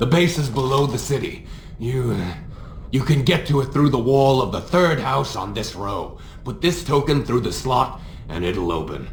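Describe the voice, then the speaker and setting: A man doing a put-on character voice at a medium pitch and moderate pace, with clear background noise. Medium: video game. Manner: hesitant.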